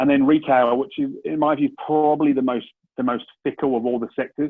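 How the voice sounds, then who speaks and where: A man's fairly high, monotone voice with flat intonation, a British accent and a fairly quick pace. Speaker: commercial property investment director. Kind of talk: business presentation. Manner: hesitant, many fillers and restarts.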